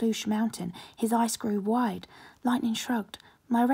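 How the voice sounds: The intonation stays fairly even. It comes in a natural reading voice.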